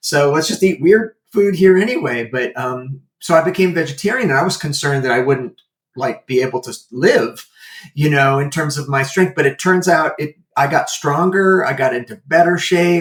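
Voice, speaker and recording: This is an ordinary speaking voice, with ordinary pitch movement and a medium speed. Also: man, fairly high pitch for a man. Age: 60s. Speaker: animal welfare entrepreneur and martial artist. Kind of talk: interview conversation. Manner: casual with fillers.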